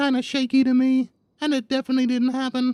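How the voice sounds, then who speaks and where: High-pitched and female-sounding, this is a put-on character voice. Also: very clean recording, silent background. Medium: game stream. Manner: rambling, filler-heavy, casual.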